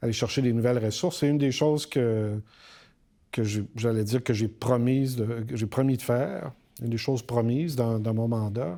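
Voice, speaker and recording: At a moderate pace, a man with a dark, mellow, medium-pitched voice speaks with fairly even intonation on a very clean recording over a silent background. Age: 60s. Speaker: university rector. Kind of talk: podcast interview. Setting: recording in Montreal. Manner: hesitant, many fillers.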